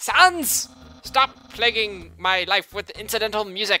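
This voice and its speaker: A put-on character voice comes at a fairly slow pace with fairly high pitch. Faint music plays in the background. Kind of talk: comic overacting. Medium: game stream. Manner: grandiose, proud.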